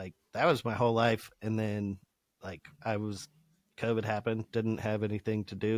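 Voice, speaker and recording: A man with an American accent talks fairly quickly at medium pitch, the sound dry and close with no echo. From Colorado. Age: 30s. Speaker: welder and former musician. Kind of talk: casual chat. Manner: animated.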